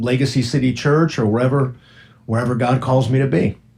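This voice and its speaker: Pitched in the middle range, a man talks at a fairly quick pace. His voice is somewhat breathy. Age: 60s. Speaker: radio host. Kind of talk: casual chat. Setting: studio.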